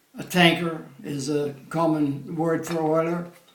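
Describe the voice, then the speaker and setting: A man's high-pitched, monotone, flat delivery over noticeable background noise. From Pennsylvania. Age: 80s+. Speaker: war veteran. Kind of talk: interview answer.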